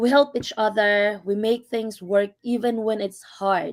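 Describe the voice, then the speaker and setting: A woman speaks with a strong Filipino accent at a fairly slow pace. Her pitch is fairly high, with ordinary variation. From Philippines, Visayas. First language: Visayan. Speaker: healthcare worker and online business owner. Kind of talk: live stream panel talk.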